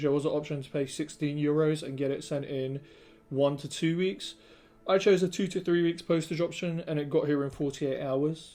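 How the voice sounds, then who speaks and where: With a British accent, a man speaks at a fairly high pitch for a man. His tone is dark and mellow, and his intonation stays fairly even. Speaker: product reviewer. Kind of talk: product review. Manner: casual, with many fillers.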